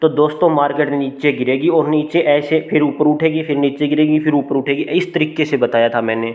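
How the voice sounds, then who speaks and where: A man's fairly high voice keeps a fairly even intonation throughout. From rural India. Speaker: stock market analyst YouTuber. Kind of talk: tutorial.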